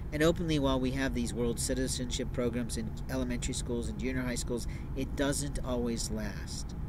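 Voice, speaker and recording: Loud background noise surrounds a man speaking at a moderate pace, in a dry sound with no echo. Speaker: speaker. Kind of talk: monologue to camera. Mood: earnest, somewhat aggrieved. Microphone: phone near.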